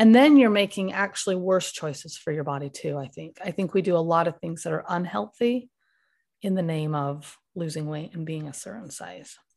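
A woman's plain, everyday voice, fairly low in pitch, with lively intonation, a moderate pace, big swings in loudness and a quiet background. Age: 40s. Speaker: speech therapist, former coaching client. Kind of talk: interview conversation.

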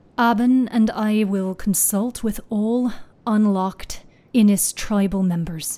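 Putting on a character voice, a woman speaks fairly slowly in a shaky, medium-pitched tone with fairly even intonation. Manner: shaky, steadying herself.

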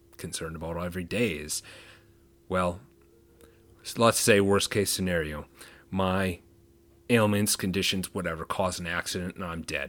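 Very deep and low in pitch, a man speaks at a moderate pace with fairly even intonation in a very clean recording with a silent background. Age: 30s. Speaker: podcast host with chronic pain, former 911 dispatcher. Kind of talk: solo podcast monologue. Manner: casual, with fillers.

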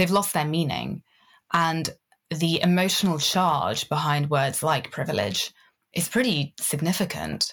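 A woman speaks with a British accent at a very deep, low pitch, with vocal fry. The recording is very clean, with a silent background. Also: ordinary pitch variation, fairly slow pace. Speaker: connection coach. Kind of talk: casual interview.

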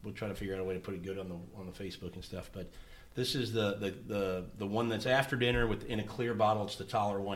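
Here a man talks at a very fast pace. His pitch is fairly low. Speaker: podcast host. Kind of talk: casual interview.

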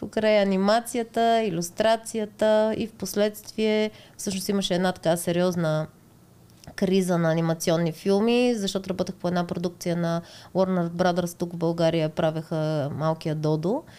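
A woman's dark, mellow voice at a medium pitch and a moderate pace. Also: ordinary pitch variation. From Bulgaria, Montana. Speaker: tattoo artist. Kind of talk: casual interview.

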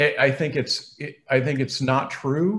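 Somewhat breathy, a man's voice comes through in an American accent. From New England (Boston). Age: 50s. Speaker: biochemistry professor. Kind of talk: interview.

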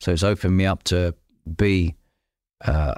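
A man speaks in a London accent with fairly even intonation. His pace is moderate, and the recording is very clean with a silent background. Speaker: podcast host and entrepreneur. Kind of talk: casual interview chat. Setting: in person at guest's place.

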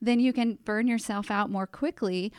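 Her pitch is fairly high for a woman. She uses ordinary pitch variation. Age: 40s. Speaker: podcast host and marketing agency owner. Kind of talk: casual interview.

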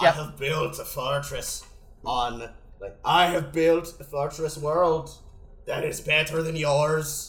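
Putting on a growling character voice, a man talks at a fairly slow pace in a fairly high pitch with monotone, flat intonation. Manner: growling, grumbling.

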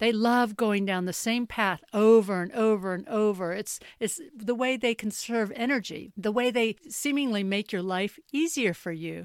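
A woman's plain, everyday voice in an American accent, with fairly high pitch, ordinary pitch variation and a moderate pace, on a very clean recording with a silent background and a dry, close sound with no echo. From US South (North Carolina, raised near Charlotte). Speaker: wellness coach and podcaster. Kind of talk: solo podcast monologue.

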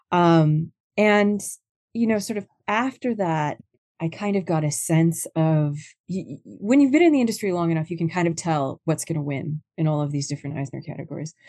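Against a quiet background, a woman with a dark, mellow tone and fairly low pitch talks at a moderate pace with lively intonation. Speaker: comic book writer. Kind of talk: interview.

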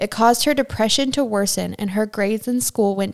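A woman talks in an unremarkable speaking voice with ordinary pitch variation. The sound is dry and close, with no echo. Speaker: true crime podcast host. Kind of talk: true-crime narration read from researched sources. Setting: living in Germany. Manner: steady, serious, even-paced storytelling delivery.

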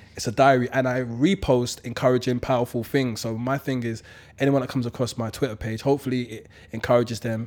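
A man with a London accent speaks very fast, his intonation fairly even. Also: medium pitch for a man. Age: 30s. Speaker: motivational speaker. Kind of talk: casual chat.

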